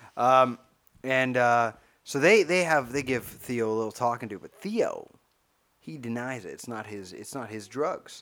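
In a plain, everyday voice, a man speaks at a moderate pace and medium pitch, with ordinary pitch variation and big swings in loudness. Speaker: podcast co-host. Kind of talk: casual banter comedy chat. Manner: self-deprecating, jokey.

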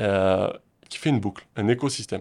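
A man with ordinary pitch variation talks at a moderate pace, captured in a very clean recording with a silent background. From French Basque Country (Pyrénées-Atlantiques, southwest France). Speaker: real estate investor and entrepreneur. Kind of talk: interview.

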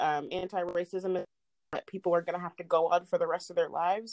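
Recorded dry and close with no echo, a woman with an American accent speaks at a fairly low pitch. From Indiana, Indianapolis. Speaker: private chef. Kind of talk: casual chat.

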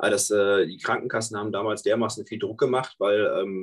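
At a moderate pace, a man with an ordinary speaking voice talks in a fairly low pitch with fairly even intonation. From northern Germany, Münsterland. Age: 20s. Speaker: nurse and state election candidate. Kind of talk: political discussion.

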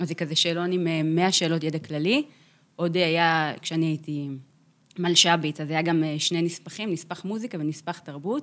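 A woman's unremarkable speaking voice, fairly low, with fairly even intonation at a moderate pace on a very clean recording with a silent background. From Israel, kibbutz in Beit She'an valley. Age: 30s. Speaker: chief music editor of a radio station. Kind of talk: interview conversation.

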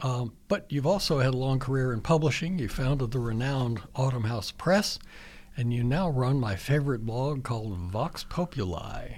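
A man talks in an ordinary speaking voice with an American accent. His pitch is medium and his intonation lively. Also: moderate pace. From Virginia. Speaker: radio host. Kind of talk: radio interview. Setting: radio studio.

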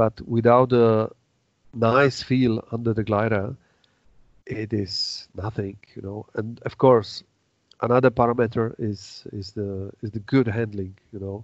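Speaking at a fairly slow pace in a Czech accent, the voice stays monotone and flat while its loudness swings widely. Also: man, medium pitch for a man. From Czech Republic. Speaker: paraglider manufacturer and designer. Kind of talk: casual interview. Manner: halting.

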